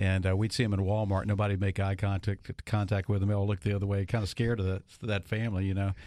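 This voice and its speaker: The speech comes at a very fast pace with hardly any pauses and very even loudness. Its tone is dark and mellow, and its intonation is monotone and flat. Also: man, fairly low pitch for a man, very clean recording, silent background. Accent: Louisiana. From Monroe, northern Louisiana. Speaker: radio host. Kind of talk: radio talk show; ad read.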